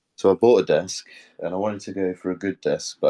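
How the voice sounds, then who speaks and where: A man with a British accent speaks at a fairly quick pace. The recording is very clean and silent behind him, with a dry, close sound and no echo. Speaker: NFT community co-host. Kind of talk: casual chat.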